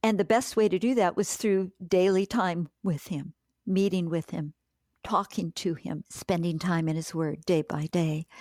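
A woman's fairly low, dark, mellow voice at a fairly slow pace, with ordinary pitch variation, dry and close with no echo, on a very clean recording with a silent background. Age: 70s. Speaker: author and pastor's wife. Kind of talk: interview. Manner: chatty.

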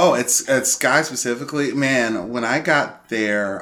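Noticeable background noise sits behind a man with an American accent who speaks at a medium pitch with ordinary pitch variation. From Chicago, Roseland. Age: 40s. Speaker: violence prevention outreach manager. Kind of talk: casual interview chat. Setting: studio on a couch.

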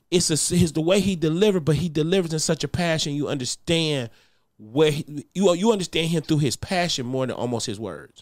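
A man's animated, fairly high voice at a fairly quick pace, with ordinary pitch variation, on a very clean recording with a silent background. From Detroit, US. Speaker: comedian. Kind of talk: casual chat.

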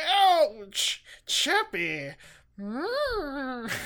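It is a put-on character voice with a high pitch. The sound is raspy. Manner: comic, exaggerated, amorous.

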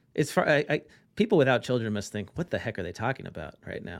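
Speaking at a very fast pace, a man has a medium pitch with vocal fry. His pitch swings very widely. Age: 40s. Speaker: accounting tech founder and CPA. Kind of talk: podcast interview. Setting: remote call.

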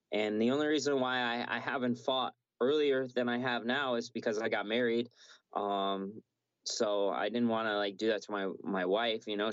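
A man's ordinary speaking voice, medium in pitch, at a moderate pace with fairly even intonation. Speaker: MMA fighter. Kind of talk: casual interview. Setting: video call.

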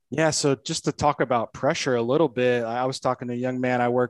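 A man with an American accent uses a normal speaking voice at a medium pitch, with fairly even intonation and a fairly quick pace. The sound is dry and close with no echo, over a quiet background. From northern Indiana, US Midwest. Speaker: golf instructor and podcast host. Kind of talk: casual interview conversation.

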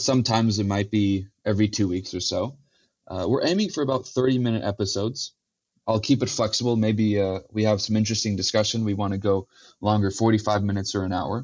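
An American-accented man talks at a very fast pace. His fairly low voice stays fairly even in intonation. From US West Coast (Silicon Valley, California). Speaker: podcast host, tech company sales and marketing head. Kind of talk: solo introductory monologue. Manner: casual with frequent fillers (uh, um).

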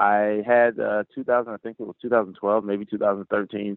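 A plain, everyday voice from a man with an American accent, medium pitch and fairly even intonation. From US South, Florida (Orlando, Pine Hills). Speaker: professional long drive golfer. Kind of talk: interview.

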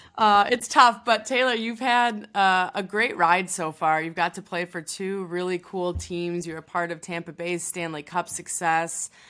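A woman with an American accent speaks at a fairly slow pace in a normal speaking voice, her pitch in the medium range with ordinary variation. There are hardly any pauses, and the very clean recording has a silent background. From Chicago. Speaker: sports podcast co-host. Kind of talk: casual chat.

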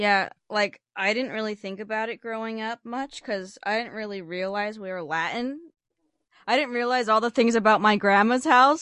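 A woman with an ordinary speaking voice at fairly high pitch, with ordinary pitch variation, a dry, close sound with no echo, and a quiet background. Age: 20s. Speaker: podcast host. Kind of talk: casual chat.

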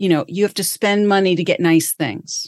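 A plain, everyday voice at a moderate pace, with a dry, close sound and no echo. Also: woman. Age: 60s. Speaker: career coach. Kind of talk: interview conversation.

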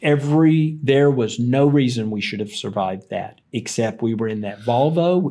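The tone is dark and mellow, with an American accent and ordinary pitch variation. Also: man. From US South, Tennessee. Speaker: company founder and CEO. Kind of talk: interview.

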